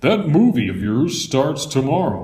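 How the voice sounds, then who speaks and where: Putting on a character voice, a man talks at a moderate pace and a fairly high pitch. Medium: read story.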